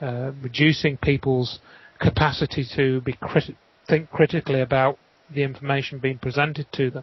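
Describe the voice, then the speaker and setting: With an English accent, a man speaks at a moderate pace in a fairly high, somewhat breathy voice with monotone, flat intonation. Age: 40s. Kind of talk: interview discussion. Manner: halting.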